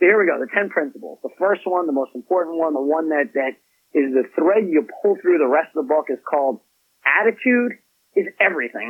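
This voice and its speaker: A man with a fairly high pitch speaks at a fairly quick pace. His tone is energetic and his intonation lively. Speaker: author and business executive. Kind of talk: interview.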